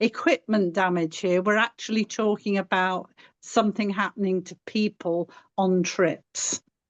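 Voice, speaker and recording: A woman with an English accent at a fairly slow pace, dry and close with no echo, against a quiet background. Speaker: paddling club member. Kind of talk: webinar Q&A.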